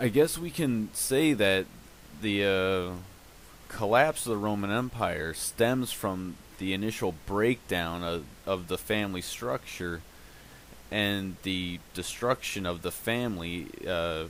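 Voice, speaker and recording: Speaking at a very slow pace, a man uses a fairly low pitch with ordinary pitch variation. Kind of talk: casual commentary to camera. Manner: hesitant, stuttering.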